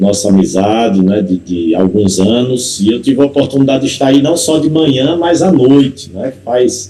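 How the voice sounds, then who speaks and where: A man speaks in a dark, mellow tone with lively intonation. Audible room echo surrounds his voice. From Paraíba, Brazil. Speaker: pastor. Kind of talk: sermon.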